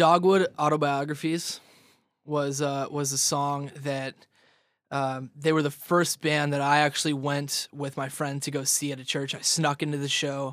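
An American accent comes through at a moderate pace, with monotone, flat intonation. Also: man, fairly high pitch for a man. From Southern California (Ridgecrest, northeast of LA). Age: 20s. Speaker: rock band lead singer. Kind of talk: casual interview chat. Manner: halting, many fillers.

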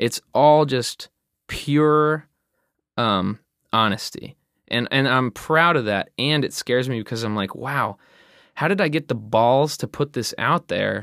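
A man with an ordinary speaking voice and medium pitch talks at a fairly slow pace with ordinary pitch variation, on a very clean recording with a silent background and a dry, close sound with no echo. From New Jersey. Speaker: rock band singer and lyricist. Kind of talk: casual interview chat. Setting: studio.

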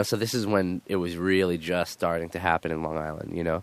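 This man has a very deep, low voice and a New York accent. He talks at a fairly quick pace in a flat monotone. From Queens, New York. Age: 20s. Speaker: punk band singer. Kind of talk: casual interview.

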